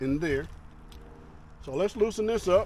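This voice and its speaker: Loud and at a fairly slow pace, the voice shows ordinary pitch variation. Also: man. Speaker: motorcycle vlogger. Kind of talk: tutorial. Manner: casual.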